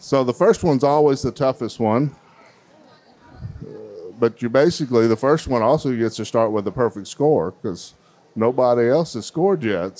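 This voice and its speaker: His tone is dark and mellow. The man keeps a moderate pace with ordinary pitch variation. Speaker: event host. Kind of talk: event emcee commentary. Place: hall. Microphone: handheld.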